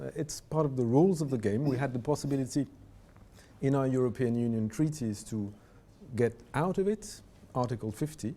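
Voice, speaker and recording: Speaking at a moderate pace with a French accent, a man uses lively intonation at a medium pitch. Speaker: diplomat. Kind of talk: panel discussion.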